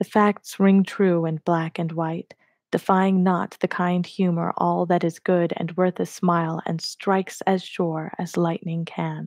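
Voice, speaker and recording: A soft-spoken woman talks at a fairly slow pace in a gentle tone. Her intonation is monotone and flat, against a quiet background. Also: hardly any pauses, dry, close sound with no echo. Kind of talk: poetry reading. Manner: gentle, soft-spoken.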